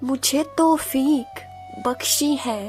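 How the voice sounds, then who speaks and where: High pitch from a woman with ordinary pitch variation, music playing in the background. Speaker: poetry reciter. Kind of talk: poetry reading.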